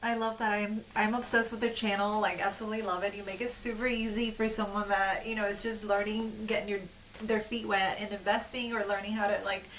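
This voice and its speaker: Very fast, enthusiastic speech with audible room echo and noticeable background noise. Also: woman, fairly high pitch for a woman. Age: 30s. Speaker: podcast host. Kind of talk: podcast interview.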